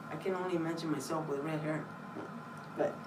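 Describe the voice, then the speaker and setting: Over noticeable background noise, a woman speaks with a Spanish accent. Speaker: library staff giving book talk. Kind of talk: book talk for children. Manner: casual, hesitant with fillers.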